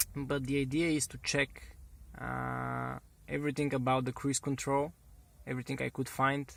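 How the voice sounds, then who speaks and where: A man talks with a Bulgarian accent. He keeps a moderate pace. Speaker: car hobbyist. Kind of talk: tutorial. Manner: halting, many fillers and restarts.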